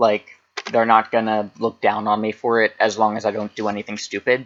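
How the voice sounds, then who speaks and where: Dry and close with no echo, a man's monotone, flat delivery in an American accent moves at a fairly quick pace. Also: fairly low pitch for a man. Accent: American, slightly thicker than typical. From Pennsylvania, US. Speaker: history YouTuber. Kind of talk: casual vlog talk.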